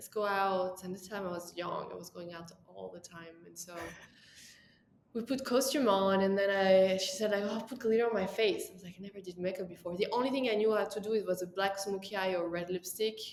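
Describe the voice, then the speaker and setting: With a French accent, a woman speaks at a fairly quick pace with fairly even intonation and big swings in loudness. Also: medium pitch for a woman. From France. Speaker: makeup artist. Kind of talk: interview. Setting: podcast.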